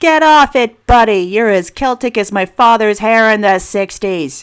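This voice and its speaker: On a very clean recording with a silent background, a woman performs a put-on character voice. Her fairly high voice moves at a moderate pace with lively intonation. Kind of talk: audiobook narration of fiction. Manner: soft-spoken.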